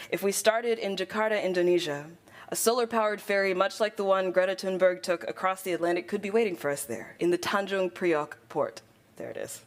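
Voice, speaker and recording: A woman's ordinary speaking voice at a medium pitch, fairly quick in pace and lively in intonation. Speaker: poet. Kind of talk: poetry slam performance. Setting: conference stage.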